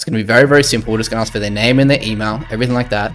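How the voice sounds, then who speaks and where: Very fast speech from a man with an Australian accent and ordinary pitch variation, music in the background. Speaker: agency owner, business youtuber. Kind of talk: tutorial.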